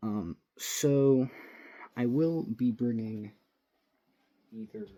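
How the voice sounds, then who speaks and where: At a very slow pace, a man speaks in a dark, mellow tone with ordinary pitch variation. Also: medium pitch for a man. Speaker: airsoft vlogger. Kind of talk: casual vlog. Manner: rambling, hesitant.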